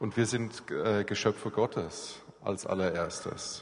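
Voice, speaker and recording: Audible room echo around a medium-pitched male voice. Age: 40s. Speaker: church planter and aid worker. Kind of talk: church talk interview.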